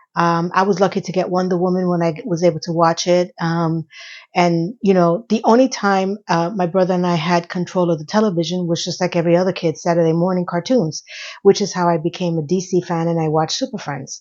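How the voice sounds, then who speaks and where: With an ordinary speaking voice, a woman talks at a fairly quick pace in a fairly low pitch, keeping her intonation fairly even. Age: 50s. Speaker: YouTuber. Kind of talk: casual vlog monologue.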